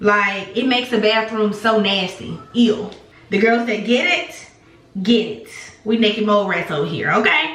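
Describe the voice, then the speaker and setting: A woman with a fairly high pitch speaks amid noticeable background noise and audible room echo. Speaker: beauty vlogger and teacher. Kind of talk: casual vlog chat. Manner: fast; animated.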